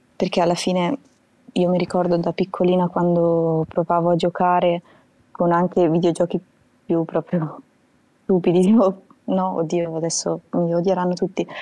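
A woman with a dark, mellow tone and fairly low pitch speaks at a moderate pace in a monotone, flat intonation, her loudness very even. Long, frequent pauses break up her speech in a dry, close sound with no echo. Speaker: viewer caller. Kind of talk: casual chat. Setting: video call.

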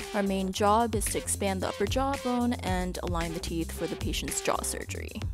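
Music plays in the background. A woman talks over it at a fairly quick pace. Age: 20s. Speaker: orthodontics resident. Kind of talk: vlog voiceover narration.

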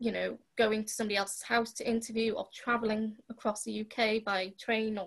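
Over a quiet background, a woman speaks at a fairly quick pace, somewhat breathy and flat in intonation. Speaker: remote podcast guest. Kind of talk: interview answer. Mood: serious, reflective. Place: home room. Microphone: video call.

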